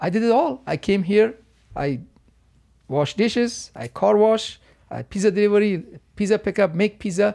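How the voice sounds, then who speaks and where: In an Afghan accent, a man with a high pitch and a dark, mellow tone speaks with lively intonation and long, frequent pauses on a very clean recording with a silent background. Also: moderate pace. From Afghanistan. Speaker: martial arts instructor and stuntman. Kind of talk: casual interview conversation. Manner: warm, grateful, polite.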